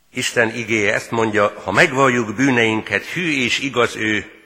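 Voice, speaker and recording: Speaking at a medium pitch with ordinary pitch variation, a man goes at a very slow pace. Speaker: pastor. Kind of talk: sermon. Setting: church.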